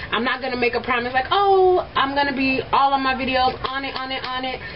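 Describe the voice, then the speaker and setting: Noticeable background noise sits behind a woman with a high pitch. She talks at a fairly quick pace with ordinary pitch variation. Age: 20s. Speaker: beauty vlogger and makeup artist. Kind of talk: makeup tutorial. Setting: at home in bedroom. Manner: fast; casual chatty. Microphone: old cheap camera.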